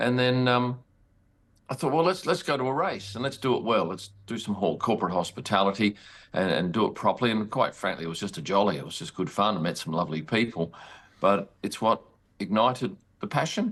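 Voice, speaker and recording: With an Australian accent, a man talks at a fairly quick pace in a fairly low pitch, his intonation lively. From Western Australia, Perth. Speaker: sports photographer. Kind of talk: interview.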